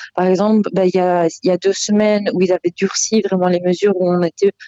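The voice has a dark, mellow tone and fairly even intonation at a fairly slow pace. The sound is dry and close, with no echo. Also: woman. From Belgium. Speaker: expat caller. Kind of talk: phone interview.

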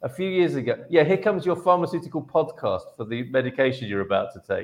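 A man is speaking. His pace is fairly quick. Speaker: live show host. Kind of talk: casual livestream chat. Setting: video livestream from separate rooms.

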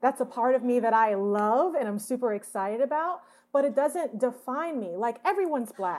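Speaking at a moderate pace with an American accent, a woman uses a high pitch and lively intonation in a very clean recording with a silent background. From US South, Atlanta. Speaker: television screenwriter. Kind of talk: interview. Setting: at home.

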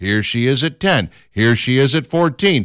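A normal speaking voice from a man, medium in pitch, lively in intonation and moderate in pace, with a dry, close sound, no echo, and a very clean recording over a silent background. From Minnesota, Minneapolis. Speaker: radio talk show host. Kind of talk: talk radio chat.

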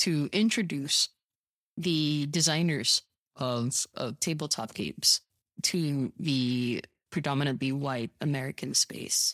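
A woman's very deep, low voice at a very slow pace, with a dry, close sound and no echo. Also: ordinary pitch variation. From Vancouver, Canada. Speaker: tabletop game designer and former English teacher. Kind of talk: casual interview chat. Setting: remote call.

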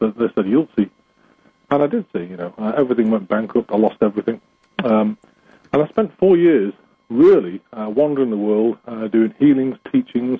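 The speech is broken by long, frequent pauses. Its pitch varies in an ordinary way. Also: man, medium pitch for a man, moderate pace. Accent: English. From England. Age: 50s. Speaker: spiritual healer. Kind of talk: interview.

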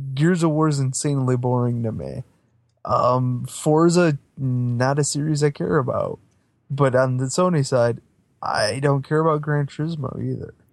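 With an unremarkable speaking voice, a man talks fairly high for his sex, keeping his intonation fairly even at a moderate pace. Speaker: podcast co-host. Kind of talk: casual chat. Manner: sarcastic, witty.

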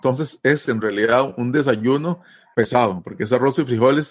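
Against a quiet background, a man with a Costa Rican accent speaks at a moderate pace and medium pitch, using lively intonation. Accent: Costa Rican Spanish, dragged R. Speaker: language teacher. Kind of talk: interview. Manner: hesitant, many fillers.

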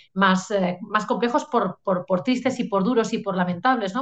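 Here a woman talks with a Catalan accent. Her pitch varies in an ordinary way. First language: Catalan (speaking Spanish). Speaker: novelist. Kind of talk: interview. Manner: hesitant, many fillers.

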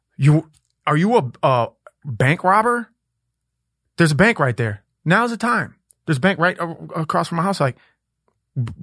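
A high-pitched man with an American accent and a bright, sharp tone, at a moderate pace with very wide pitch swings and long, frequent pauses, in a dry, close sound with no echo and a quiet background. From Minneapolis, US Midwest. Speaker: rapper. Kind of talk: casual chat. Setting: studio.

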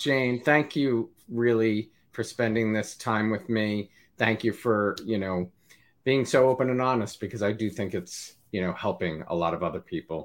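In a very clean recording with a silent background, a man with an American accent uses an ordinary speaking voice, medium in pitch, with ordinary pitch variation at a moderate pace. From US, New Jersey. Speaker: interview show host. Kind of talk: interview; scripted intro. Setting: live video stream.

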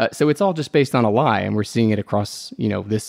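The sound is dry and close with no echo as a man talks very fast at a fairly low pitch with ordinary pitch variation. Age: 30s. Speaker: political organization director, co-host. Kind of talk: casual political discussion.

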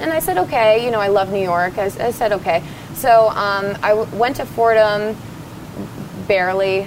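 A woman's medium-pitched voice with an American accent, a moderate pace, ordinary pitch variation and noticeable background noise. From rural New Jersey. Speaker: singer. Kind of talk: casual chat.

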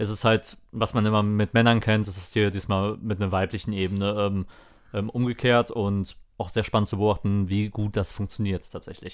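On a very clean recording with a silent background, a man speaks in a monotone, flat intonation at a moderate pace and a fairly low pitch. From Lower Rhine, western Germany. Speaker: podcast co-host. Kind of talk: casual chat.

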